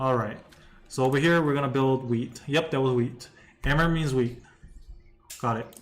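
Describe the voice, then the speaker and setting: Speaking with a non-native accent, the voice leaves long, frequent pauses and keeps a fairly even intonation. Audible room echo surrounds it. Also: man, medium pitch for a man, moderate pace. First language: not English. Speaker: gaming streamer. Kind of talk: live gameplay commentary. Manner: casual, repetitive.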